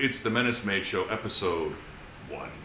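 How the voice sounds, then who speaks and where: Background noise is noticeable behind this man. He keeps a moderate pace. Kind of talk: casual podcast host.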